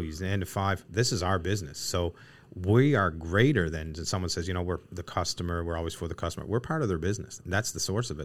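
Speaking at a very fast pace with a Newfoundland accent, a man's very deep, low voice comes through on a very clean recording with a silent background. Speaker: equipment company co-founder. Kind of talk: casual interview. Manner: talkative.

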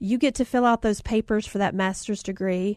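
A woman with a fairly high pitch and ordinary pitch variation speaks in an animated, warm tone, the sound dry and close with no echo against a quiet background. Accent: Southern US. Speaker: podcast host and author. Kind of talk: casual chat, encouraging talk. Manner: animated, warm, chatty.

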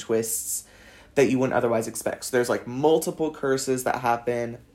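A medium-pitched man with a Californian accent and a dark, mellow tone at a fairly quick pace. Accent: Californian American English. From Los Angeles. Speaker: podcaster, university student. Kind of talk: casual monologue. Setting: at home desk. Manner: casual, rambling with fillers.

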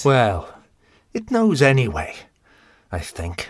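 A man puts on a character voice at a medium pitch, swinging very widely up and down. He speaks slowly on a very clean recording with a silent background.

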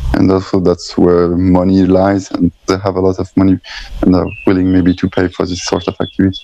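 Noticeable background noise surrounds a man speaking with a French accent at a fairly quick pace. His very deep, low voice stays monotone and flat. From France, Strasbourg. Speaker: slackline athlete. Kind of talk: interview. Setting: video call.

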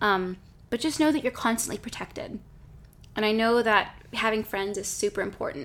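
A woman with an unremarkable speaking voice, fairly high pitch and a fairly quick pace. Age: 20s. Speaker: podcast host. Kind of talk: casual chat. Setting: Instagram Live stream.

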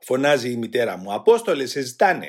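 There is vocal fry as a man speaks at a fairly slow pace. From Greece, Attica (Rafina). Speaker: former political prisoner. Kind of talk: testimony.

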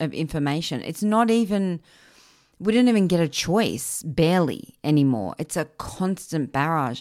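A woman speaks in an animated tone with lively intonation. The recording is very clean, with a silent background. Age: 40s. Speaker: podcast host, gut health and anxiety coach. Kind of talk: solo podcast monologue. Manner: animated, conversational.

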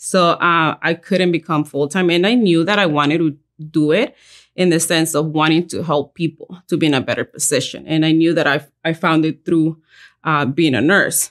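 A woman's very deep, low-pitched voice with a Mexican accent, at a moderate pace with fairly even intonation. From Mexico. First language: Spanish. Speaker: life insurance agent. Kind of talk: interview.

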